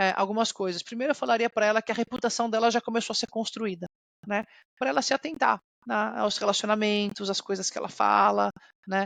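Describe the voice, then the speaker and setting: An ordinary speaking voice from a woman at a fairly high pitch, with ordinary pitch variation, at a fairly quick pace, with a dry, close sound with no echo. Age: 30s. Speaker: corporate executive. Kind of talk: interview.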